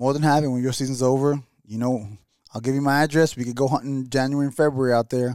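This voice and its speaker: Very fast and monotone, a man talks with flat intonation at a medium pitch. He has a New York accent. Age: 40s. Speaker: hunter. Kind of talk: casual chat. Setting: studio.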